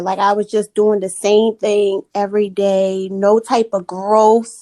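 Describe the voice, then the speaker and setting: Speaking at a very slow pace with a Maryland accent, a woman with a fairly high pitch is heard in a dry, close sound with no echo. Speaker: podcast guest. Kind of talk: casual chat.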